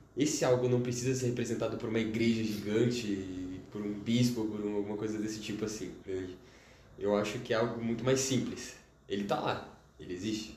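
The speech moves at a fairly quick pace with fairly even intonation, and audible room echo surrounds it. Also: man, fairly low pitch for a man. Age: young. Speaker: chemistry student. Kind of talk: casual interview.

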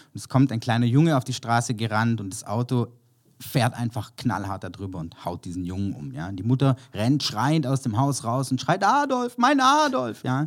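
On a very clean recording with a silent background, a man with an unremarkable speaking voice talks at a moderate pace in a medium pitch, with lively intonation and big swings in loudness. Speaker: creative director and copywriter. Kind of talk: casual interview.

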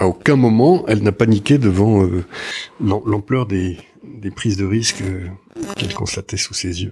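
This man speaks with ordinary pitch variation. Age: 50s. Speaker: public investment bank executive. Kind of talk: interview.

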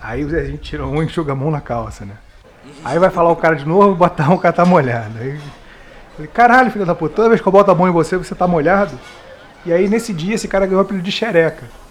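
Amid noticeable background noise, a high-pitched man talks at a very fast pace with lively intonation. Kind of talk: casual chat, storytelling.

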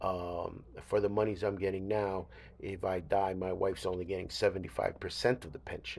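Monotone, flat intonation from a man at a fairly low pitch and a moderate pace. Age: 60s. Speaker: podcast host. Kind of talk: casual solo monologue. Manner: halting, many fillers.

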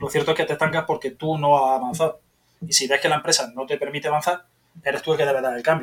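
A man talks very fast at a fairly high pitch in a monotone, flat intonation. His voice is somewhat breathy. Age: 40s. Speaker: software developer, podcast listener. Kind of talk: interview.

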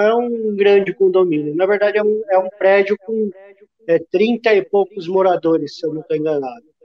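This man's pitch is high, with ordinary pitch variation. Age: 50s. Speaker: smallholder and finance worker. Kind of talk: interview. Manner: halting, many repetitions.

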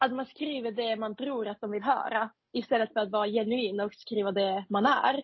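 Her intonation stays fairly even as she speaks at a moderate pace. The woman has a fairly high pitch and a non-native accent. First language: not Swedish (speaking Swedish). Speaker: podcast co-host, junior doctor. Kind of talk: casual chat.

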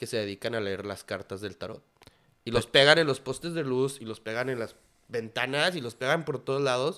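A man's medium-pitched voice, bright and sharp in tone, at a fairly quick pace. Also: ordinary pitch variation. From Durango, northern Mexico. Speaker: graphic designer and hospitality manager. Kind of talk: casual chat.

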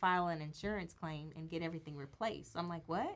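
With an American accent, a woman speaks at a fairly quick pace in a bright, sharp tone. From Los Angeles, US West Coast. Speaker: minister and wife. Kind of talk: casual chat. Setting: studio.

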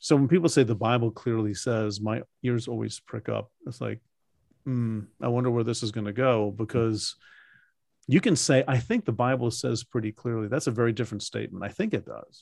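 A man with a normal speaking voice talks at a fairly quick pace with a medium pitch and ordinary pitch variation. The sound is dry and close, with no echo. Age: 60s. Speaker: Bible scholar and podcast host. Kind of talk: interview. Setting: video call.

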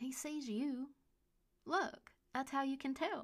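A woman with a high-pitched voice speaks at a very slow pace. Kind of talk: ghost story reading. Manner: slow, eerie, chatty; gently animated, playful.

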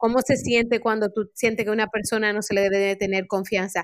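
A woman's fairly high voice at a moderate pace, on a very clean recording with a silent background. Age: 40s. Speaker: life coach and community program strategist. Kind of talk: podcast interview.

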